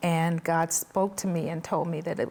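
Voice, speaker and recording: Fairly low in pitch, a woman with an unremarkable speaking voice speaks at a fairly slow pace. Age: 60s. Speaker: mental health counselor. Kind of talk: testimony.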